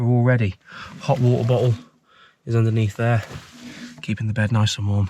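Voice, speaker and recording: With an English accent, the speaker talks at a fairly quick pace in a somewhat breathy, dark, mellow tone with fairly even intonation. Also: man. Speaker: vlogger. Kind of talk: vlog narration. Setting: inside a car. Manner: quiet.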